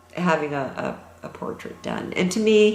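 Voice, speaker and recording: A woman with a Canadian accent speaks at a fairly slow pace and ordinary pitch variation. Audible room echo and noticeable background noise fill the recording. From Toronto, Canada. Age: 60s. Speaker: pastel artist, former optometrist. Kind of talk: interview.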